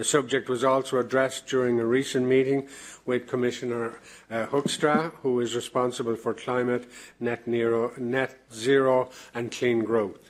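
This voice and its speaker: A man talks at a moderate pace with an Irish accent. His medium pitch stays monotone and flat. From Ireland. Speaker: president of an EU advisory committee chairing a plenary. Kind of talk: formal opening address at a plenary session. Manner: hesitant, many filler sounds.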